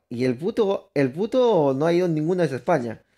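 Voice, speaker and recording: Speaking at a moderate pace, a man with a fairly high pitch uses an animated tone and lively intonation on a very clean recording with a silent background. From Peru. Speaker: gaming streamer. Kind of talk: live gameplay commentary. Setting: live stream. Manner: casual, animated.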